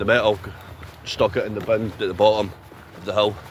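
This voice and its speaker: A man with a Scottish accent, fairly low pitch and very fast pace, with noticeable background noise. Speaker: outdoor vlogger. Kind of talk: casual vlog to camera. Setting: outdoors. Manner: animated.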